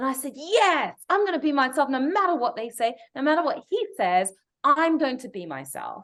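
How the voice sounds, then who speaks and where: A woman with an English accent uses very wide pitch swings against a quiet background. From England. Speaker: broadcast journalist. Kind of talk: interview storytelling.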